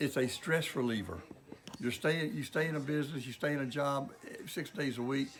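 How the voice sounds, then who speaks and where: Someone with a Mississippi Delta accent talks at a fairly quick pace with ordinary pitch variation. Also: man, fairly high pitch for a man. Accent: Mississippi Delta Southern US. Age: 70s. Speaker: clothing store owner. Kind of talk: interview. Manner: halting, with fillers.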